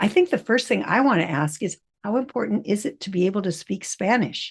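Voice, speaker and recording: A woman's medium-pitched voice with vocal fry, lively intonation, and a fairly quick pace. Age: 80s+. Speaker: podcast host. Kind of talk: interview.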